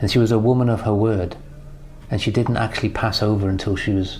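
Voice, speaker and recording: A man with a fairly low pitch speaks fairly quickly in a monotone, flat way. Noticeable background noise and audible room echo surround him. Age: 60s. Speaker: business mentor. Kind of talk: recorded personal tribute message.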